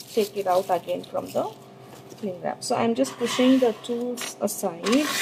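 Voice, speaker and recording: With noticeable background noise behind it, the voice moves at a fairly slow pace with lively intonation. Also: woman. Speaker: sugar art teacher. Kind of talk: live tutorial. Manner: hesitant, many fillers; trying to speak louder.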